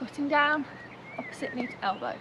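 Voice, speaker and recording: A woman speaks at high pitch. Light background noise can be heard. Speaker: fitness instructor. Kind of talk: workout instruction. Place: garden.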